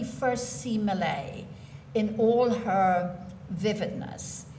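A woman with an Irish accent speaks with lively intonation over light background noise. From Ireland. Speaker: poet. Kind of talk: literary talk at a poetry reading. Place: hall.

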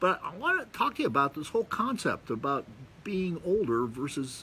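Over light background noise, a man speaks with very wide pitch swings. His tone is bright and sharp. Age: 60s. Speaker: video blogger. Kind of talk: monologue to camera, casual talk. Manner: casual, rambling, with fillers. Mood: relaxed, reflective. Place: garden. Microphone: phone near.

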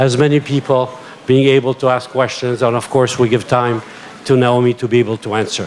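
A man talking at a fairly quick pace, with light background noise. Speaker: event moderator. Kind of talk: event moderation. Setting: stage with audience. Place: tent. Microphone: handheld.

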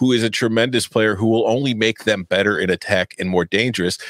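Against a quiet background, a man speaks, the sound dry with no echo. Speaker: soccer betting analyst. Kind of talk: casual sports betting chat. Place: home room. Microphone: studio mic.

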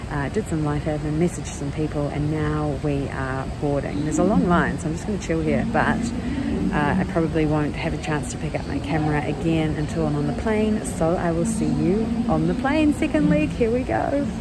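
Over loud background noise, a woman talks at a fairly quick pace with a dry sound and no echo. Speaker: travel vlogger. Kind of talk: casual vlog chat. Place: station. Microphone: phone near.

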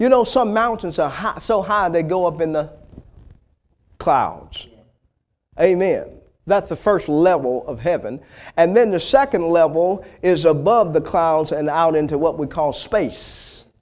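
A man with an American accent talks at a fairly slow pace in a high voice for a man. His tone is animated and his intonation lively, over a quiet background. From US South. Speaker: preacher. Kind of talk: sermon. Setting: church. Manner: animated, fervent preaching cadence with call-and-response prompts like 'Say amen'; exhortative, punchy repetition of key words for emphasis. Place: church. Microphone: lapel.

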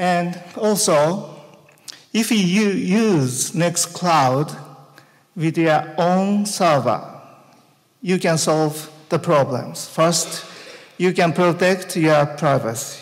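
A man's high-pitched voice with a Japanese accent, very slow pace, long, frequent pauses, ordinary pitch variation and very even loudness against a quiet background. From Japan, Tokyo. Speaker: conference speaker. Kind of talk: conference talk. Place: hall. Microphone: handheld.

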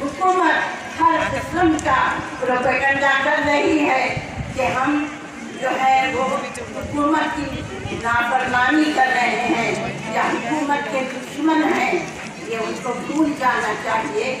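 Strong room echo and noticeable background noise surround a woman speaking at a very slow pace. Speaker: protest speaker. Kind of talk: political rally speech. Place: street.

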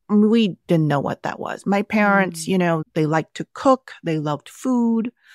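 Lively intonation in a Californian accent at a moderate pace, with a dry, close sound with no echo and a very clean recording over a silent background. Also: woman. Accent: American (Californian). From Vietnam (Saigon), raised in Southern California from age six. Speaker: cookbook author. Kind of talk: interview.

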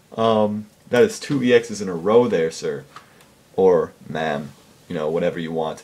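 A man is talking here. His pace is fairly slow. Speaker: gaming video creator. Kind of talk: casual commentary. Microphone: webcam.

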